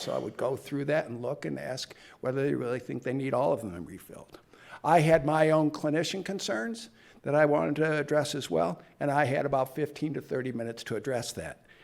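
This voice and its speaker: This man talks at a fairly quick pace with an American accent and ordinary pitch variation. Vocal fry runs through his voice. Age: 60s. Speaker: physician and researcher. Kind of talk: conference talk.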